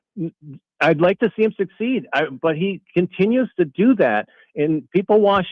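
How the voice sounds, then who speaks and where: With a normal speaking voice, a man talks at a moderate pace using lively intonation. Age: 60s. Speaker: caller. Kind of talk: sports talk radio call.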